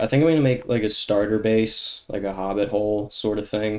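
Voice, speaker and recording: A man speaks at a fairly low pitch. His pace is moderate. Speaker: gaming YouTuber. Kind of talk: gameplay commentary. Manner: monotone; halting.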